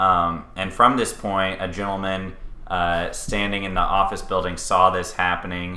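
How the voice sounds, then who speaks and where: A man with a very deep, low pitch speaks at a moderate pace over noticeable background noise. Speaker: podcast co-host. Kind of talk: casual chat.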